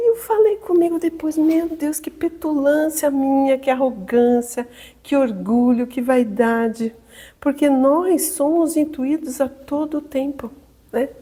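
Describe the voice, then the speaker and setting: A woman speaks very slowly in a high pitch, her tone dark and mellow and her intonation lively. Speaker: spiritist lecturer. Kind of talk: lecture.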